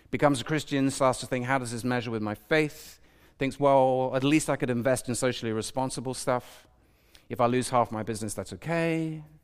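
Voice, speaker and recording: A man at a medium pitch talks at a fairly quick pace in a British accent, with ordinary pitch variation. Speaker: preacher. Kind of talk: sermon. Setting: church with congregation. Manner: fast.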